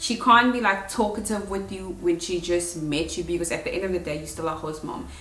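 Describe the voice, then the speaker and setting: Music plays in the background as a woman speaks at a fairly quick pace with ordinary pitch variation. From South Africa. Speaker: au pair. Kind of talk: casual talk to camera.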